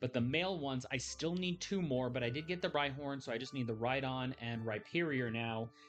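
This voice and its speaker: Background music plays throughout. The talking is fairly quick. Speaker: gaming YouTuber. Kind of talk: casual video update. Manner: hesitant, with fillers.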